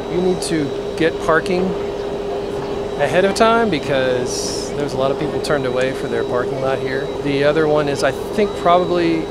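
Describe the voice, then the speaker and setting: Against loud background noise, a man talks at a moderate pace in a dry sound with no echo. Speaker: family travel vlogger. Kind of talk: casual vlog chat. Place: station. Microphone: phone near.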